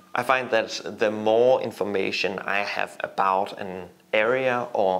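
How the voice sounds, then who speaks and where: This is a plain, everyday voice. It moves at a fairly slow pace with fairly even intonation. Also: man. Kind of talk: tutorial. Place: home room.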